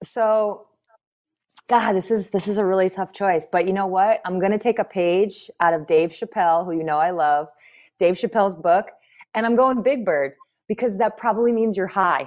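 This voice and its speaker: At a moderate pace, a woman talks in a normal speaking voice, medium in pitch and with ordinary pitch variation. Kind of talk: casual chat. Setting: video call.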